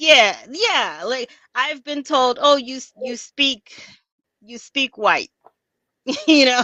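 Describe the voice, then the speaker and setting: A woman with an American accent speaks in a raised, projected voice at a high pitch, her bright, sharp tone moving at a very slow pace with long, frequent pauses, big swings in loudness and ordinary pitch variation, all in a dry, close sound with no echo. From US, South Florida (West Indian community). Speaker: podcast guest. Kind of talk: casual conversational interview.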